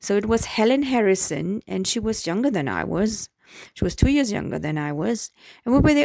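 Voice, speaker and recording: A woman with a German accent speaks at a moderate pace and a fairly high pitch, her pitch swinging very widely. The sound is dry and close with no echo, in a very clean recording with a silent background. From Germany. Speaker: vlogger. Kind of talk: personal storytelling. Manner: hesitant, with fillers.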